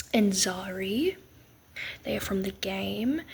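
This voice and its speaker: Soft-spoken delivery at a fairly slow pace. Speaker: digital artist. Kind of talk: casual voice-over.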